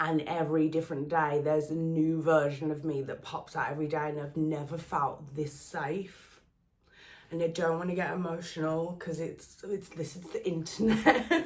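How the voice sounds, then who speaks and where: Speaking at a moderate pace with a Birmingham accent, a woman uses a fairly low pitch and fairly even intonation. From England, Birmingham. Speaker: relationship content creator. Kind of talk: personal vlog monologue.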